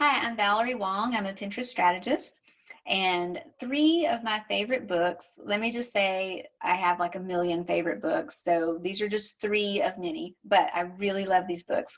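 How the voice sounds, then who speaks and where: A woman with a Southern US accent talks at a moderate pace and a medium pitch, with lively intonation and hardly any pauses. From US South. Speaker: social media marketing strategist. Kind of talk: recorded recommendation. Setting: home office.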